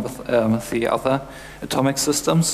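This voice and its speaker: A man speaks with fairly even intonation at a moderate pace as light background noise sounds. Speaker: conference presenter. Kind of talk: lecture. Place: stage.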